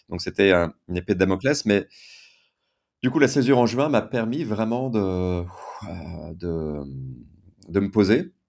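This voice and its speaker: A man's fairly low voice with lively intonation, a fairly slow pace, and long, frequent pauses. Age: 50s. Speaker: writer and entrepreneur. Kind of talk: testimony.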